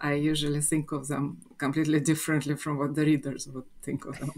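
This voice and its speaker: Speaking with a Russian accent, a woman uses a very deep, low pitch and a flat monotone. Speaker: fantasy author. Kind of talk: interview.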